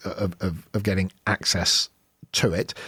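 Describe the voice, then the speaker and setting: A man's ordinary speaking voice at a fairly low pitch, dry and close with no echo, in a very clean recording with a silent background. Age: 50s. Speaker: podcast host. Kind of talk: interview.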